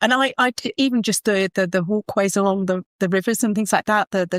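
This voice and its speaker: Recorded dry and close with no echo, in a very clean recording with a silent background, the voice has a Kent accent. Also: woman. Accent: southern English (Kent), noticeable. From southern England, Kent. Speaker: property stager, business founder. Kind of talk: podcast interview.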